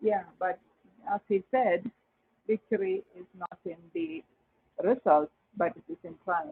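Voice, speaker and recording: Someone with a non-native accent talks at a fairly slow pace. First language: not English. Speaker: class participant. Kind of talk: spoken feedback. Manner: hesitant.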